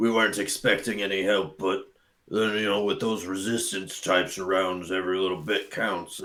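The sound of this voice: A man speaks in a put-on character voice, gravelly and fairly low-pitched. His pace is moderate.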